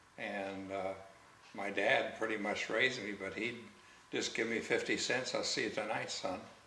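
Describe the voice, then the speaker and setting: A man speaks at a moderate pace. Audible room echo is present. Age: 70s. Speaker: interviewee telling life story. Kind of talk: life story interview. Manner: halting.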